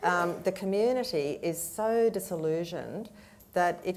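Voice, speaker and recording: In an Australian accent, a woman with a fairly low pitch and ordinary pitch variation speaks amid audible room echo. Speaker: panelist, business communication advisor. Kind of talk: panel discussion. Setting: stage with audience.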